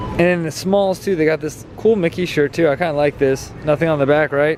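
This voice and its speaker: Over noticeable background noise, a man with a fairly high pitch and ordinary pitch variation speaks at a very fast pace. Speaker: Disney shopping vlogger. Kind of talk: casual vlog walkthrough. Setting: inside a store.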